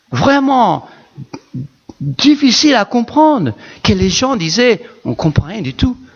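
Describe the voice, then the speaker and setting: Very slowly and with lively intonation, a man with a non-native accent speaks at an extremely high pitch. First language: not French (speaking French). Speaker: pastor. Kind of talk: sermon. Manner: animated.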